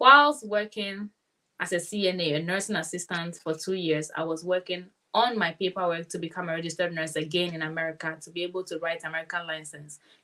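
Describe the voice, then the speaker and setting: The speech races at a very fast pace, with ordinary pitch variation and big swings in loudness. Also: woman, fairly low pitch for a woman. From Nigeria. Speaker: nurse. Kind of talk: interview. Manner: energetic.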